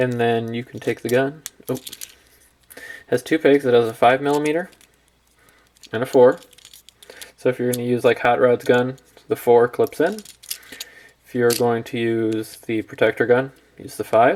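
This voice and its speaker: Speech moves at a moderate pace, broken by long, frequent pauses. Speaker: toy reviewer. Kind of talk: product review tutorial.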